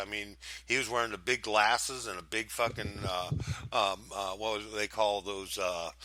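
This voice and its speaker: A man with an unremarkable speaking voice talks at a moderate pace. His pitch is fairly low, with ordinary variation. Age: 60s. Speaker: radio station owner. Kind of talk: casual chat.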